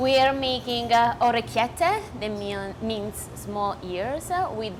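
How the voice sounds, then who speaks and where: A woman with an Italian accent speaks very slowly amid noticeable background noise. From Puglia, southern Italy. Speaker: nutritionist. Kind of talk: cooking show chat. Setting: working kitchen, on set. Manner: halting, brief answers.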